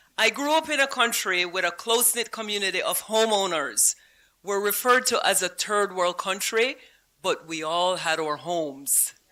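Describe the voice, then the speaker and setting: A woman at medium pitch with a Belizean accent, bright, sharp tone, lively intonation and moderate pace, over a very clean recording with a silent background. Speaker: honoree, housing advocate and teacher. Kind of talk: award acceptance speech.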